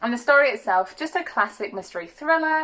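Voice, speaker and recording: A woman speaks in an animated tone at a fairly quick pace, with noticeable background noise. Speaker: book reviewer. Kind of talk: casual chat. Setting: bedroom, window open. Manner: fast.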